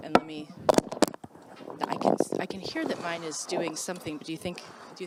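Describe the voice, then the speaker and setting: A woman talks at a fairly quick pace with a fairly low pitch and monotone, flat intonation, broken by long, frequent pauses. Her loudness swings widely, and there is noticeable background noise. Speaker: professor. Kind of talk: casual chat.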